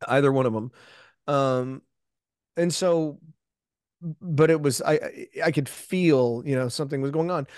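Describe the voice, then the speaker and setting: With an American accent, a man of fairly high pitch speaks at a fairly slow pace with fairly even intonation and long, frequent pauses, recorded with a dry, close sound, no echo and a quiet background. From Texas, south of Houston. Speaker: longevity and wellness expert. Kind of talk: interview.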